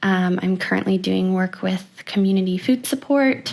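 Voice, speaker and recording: A woman with a Canadian accent uses a normal speaking voice at medium pitch and a moderate pace. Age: 20s. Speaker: university student and program participant. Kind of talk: podcast interview.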